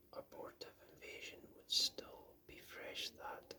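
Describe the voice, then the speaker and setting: The speaker is whispering at a fairly slow pace. The tone is calm. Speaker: ASMR book reader. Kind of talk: soft-spoken ASMR book reading. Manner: soft-spoken, calm.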